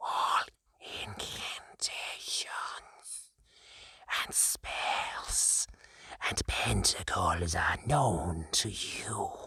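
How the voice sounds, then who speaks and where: In a put-on character voice, a man whispers with hissing at a very slow pace, leaving long, frequent pauses. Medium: read story. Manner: deferential.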